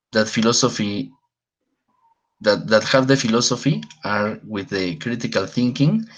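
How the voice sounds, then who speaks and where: Someone with a Spanish accent talks at a moderate pace with long, frequent pauses and ordinary pitch variation against a quiet background. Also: man, fairly low pitch for a man. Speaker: philosopher working in prisons. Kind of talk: panel discussion. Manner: halting.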